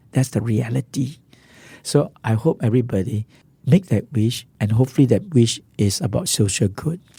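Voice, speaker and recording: Medium-pitched male voice in a Singaporean accent, dark and mellow in tone, somewhat breathy, with lively intonation. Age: 60s. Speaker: social entrepreneur. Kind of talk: interview.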